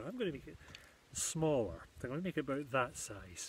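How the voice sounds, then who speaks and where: Over light background noise, a man talks in a somewhat breathy voice. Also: dry sound with no echo. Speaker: woodcraft workshop host. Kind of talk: tutorial. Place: garden. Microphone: phone near.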